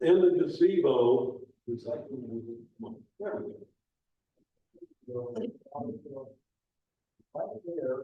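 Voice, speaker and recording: A man at a very slow pace, with long, frequent pauses and big swings in loudness. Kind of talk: public talk with slides.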